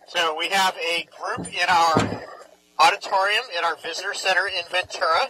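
A man speaks in a raised, projected voice at a moderate pace with fairly even intonation. The sound is dry with no echo, though background noise is noticeable. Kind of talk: live educational presentation. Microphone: headset.

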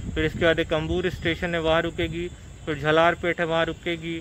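Over background music, a man with a high pitch talks at a fairly slow pace in a flat monotone, the sound dry with no echo. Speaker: travel vlogger. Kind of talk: casual vlog chat. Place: station. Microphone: phone near.

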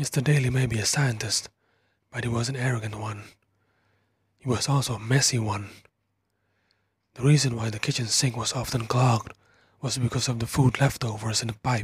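Whispering and somewhat breathy, a soft-spoken man leaves long, frequent pauses. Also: fairly quick pace. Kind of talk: whispered horror story narration, first-person. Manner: whispered, soft-spoken.

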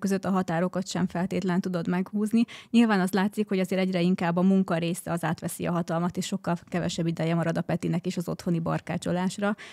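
A woman talks at a very fast pace in a dark, mellow tone. Her intonation is fairly even, and the background is quiet. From Hungary. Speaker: guest, wife of smart home enthusiast; guest. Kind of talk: casual chat. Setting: studio. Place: studio. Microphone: studio mic.

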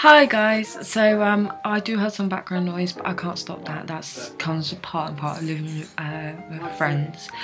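With hardly any pauses, a woman with a British accent talks at a fairly slow pace in a fairly low pitch with ordinary pitch variation, clear music playing in the background. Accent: British-sounding. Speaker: vlogger. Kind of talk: casual talk to camera. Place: home room. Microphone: webcam.

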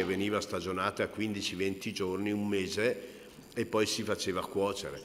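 With an unremarkable speaking voice, a man talks fairly slowly at a fairly low pitch. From Italy, Brescia lowlands (Cigole); Italy. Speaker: cured meats expert and taster; presenter. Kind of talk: talk at a book presentation. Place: hall. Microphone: podium.

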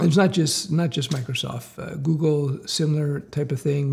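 A man's somewhat breathy voice comes at a moderate pace against a quiet background. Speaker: career coach for developers. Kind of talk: commentary. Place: home room.

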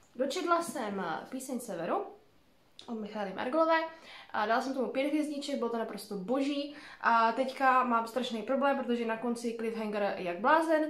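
A woman's high voice with lively intonation at a moderate pace, long, frequent pauses, and audible room echo. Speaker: book vlogger. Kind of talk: casual vlog monologue. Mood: relaxed, thoughtful. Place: home room. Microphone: phone near.

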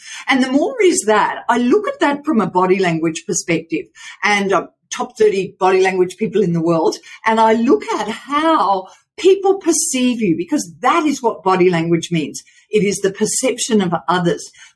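A somewhat breathy woman talks at a moderate pace, her pitch swinging very widely. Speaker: remote podcast guest, voice coach. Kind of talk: interview answer. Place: home room.

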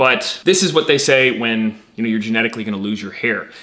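Speaking at a very fast pace, a man rushes through his lines. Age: 20s. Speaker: YouTuber and business founder; health vlogger. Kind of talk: casual explainer monologue. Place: home room.

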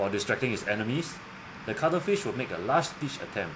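Over noticeable background noise, a man sounds enthusiastic, his medium pitch making very wide swings. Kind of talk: nature documentary narration. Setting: voiceover. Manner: earnest, clear, schoolroom-style narration with a wondering, enthusiastic tone.

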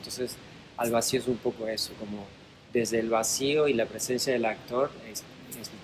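The pace is moderate, with fairly even intonation. Noticeable background noise is present. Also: man. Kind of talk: interview answer. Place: hall. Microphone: camera far.

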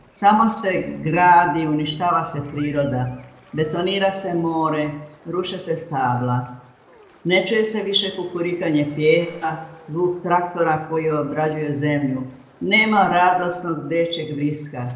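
Against noticeable background noise, a woman speaks at a fairly slow pace and a fairly low pitch, with ordinary pitch variation. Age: 80s+. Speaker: poet and memoir author. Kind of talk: memoir reading.

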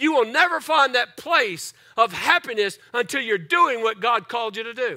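Against a quiet background, a raised, projected voice with a bright, sharp tone and lively intonation moves at a moderate pace. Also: man. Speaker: pastor. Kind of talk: sermon. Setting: church. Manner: animated; repetitive, preacherly cadence. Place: church. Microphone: headset.

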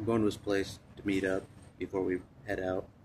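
Noticeable background noise sits under the speech. The pace is fairly slow. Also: man. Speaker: vlogger. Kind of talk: casual vlog chat. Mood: reflective, occasionally laughing. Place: street. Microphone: phone near.

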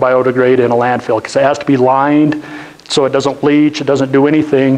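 Speaking with an American accent, a man moves at a fairly quick pace. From northeastern Utah (Roosevelt); Utah. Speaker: business owner, guest speaker; guest. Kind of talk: lecture. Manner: conversational, interactive with audience. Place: classroom. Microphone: lapel.

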